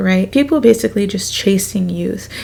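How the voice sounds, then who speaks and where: Background noise is noticeable throughout. Over it, a woman talks at a moderate pace. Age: 20s. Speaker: beauty youtuber. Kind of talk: casual chat. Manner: casual, filler-heavy.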